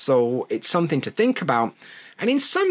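A man in a Yorkshire accent, recorded with a dry, close sound and no echo. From Yorkshire, northern England. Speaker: podcast host and English teacher. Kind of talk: scripted-style educational monologue. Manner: friendly, conversational, clear.

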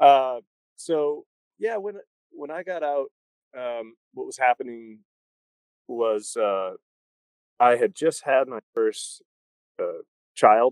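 At a very slow pace, with long, frequent pauses and big swings in loudness, a man speaks in a dry, close sound with no echo. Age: 40s. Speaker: army veteran and former punk rocker with an MBA. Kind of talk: casual interview. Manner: halting, with many repeated words.

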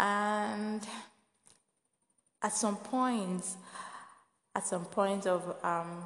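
Soft-spoken, a woman talks at a very slow pace and a medium pitch with fairly even intonation, leaving long, frequent pauses. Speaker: podcast host. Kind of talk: inspirational faith podcast talk.

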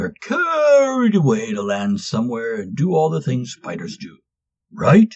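The speech moves at a moderate pace. Its loudness swings widely. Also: man, high pitch for a man. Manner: rambling, folksy, crowd-pleasing.

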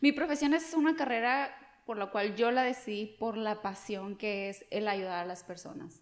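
This woman has an unremarkable speaking voice, ordinary pitch variation and a fairly slow pace. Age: 30s. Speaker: insurance agent. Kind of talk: podcast interview.

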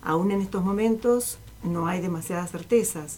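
A woman talks over noticeable background noise. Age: 60s. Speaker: writer, retired teacher. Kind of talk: reading aloud own fiction; casual interview.

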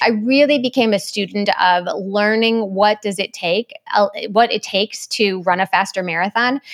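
Speaking at a moderate pace with hardly any pauses, a woman of medium pitch shows ordinary pitch variation against noticeable background noise. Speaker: running coach and podcaster. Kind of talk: casual interview conversation.

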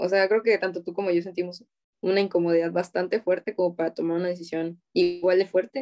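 A woman speaks very fast in a Mexican accent. Her intonation stays fairly even. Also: fairly low pitch for a woman, dry, close sound with no echo. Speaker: university student. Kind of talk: casual chat. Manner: stutters.

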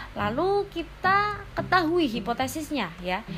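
A woman speaks at a fairly slow pace with very wide pitch swings. Noticeable background noise runs underneath. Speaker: university student presenting a group assignment. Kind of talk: tutorial. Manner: casual.

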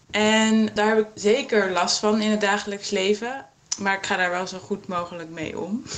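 A woman speaks at a medium pitch and moderate pace with fairly even intonation. Noticeable background noise runs under her voice. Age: 20s. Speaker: yoga teacher with a visual impairment. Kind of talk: testimony.

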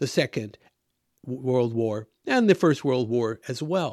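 Over a very clean recording with a silent background, a man with an American accent uses a plain, everyday voice, lively intonation and a fairly slow pace. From US, Washington state. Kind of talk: monologue commentary.

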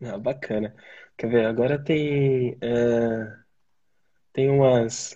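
A man's dark, mellow tone comes through a somewhat breathy voice. His intonation stays fairly even. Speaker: channel host. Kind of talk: casual interview. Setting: online live stream.

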